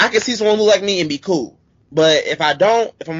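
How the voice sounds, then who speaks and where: A man delivers lively intonation at a fairly quick pace in an unremarkable speaking voice. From US Midwest, St. Louis. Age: 20s. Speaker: professional wrestler. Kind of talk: interview.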